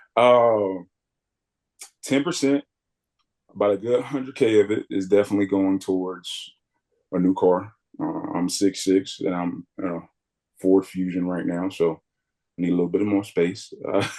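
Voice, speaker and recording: A man's fairly low-pitched voice with a dark, mellow tone and ordinary pitch variation, at a moderate pace with long, frequent pauses. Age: 20s. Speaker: student athlete fellow co-hosting a webinar. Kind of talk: casual chat. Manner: animated.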